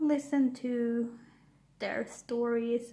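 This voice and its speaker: A soft-spoken woman's fairly high voice with a dark, mellow tone, in a Swedish accent, with fairly even intonation. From Sweden. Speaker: YouTuber. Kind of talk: casual chat. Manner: halting.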